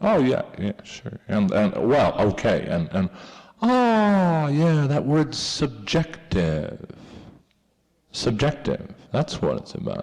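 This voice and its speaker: Speaking at a very slow pace, a man with a fairly high pitch makes very wide pitch swings. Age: 30s. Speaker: filmmaker. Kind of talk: audience Q&A. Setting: museum talk with audience. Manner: halting, many repetitions.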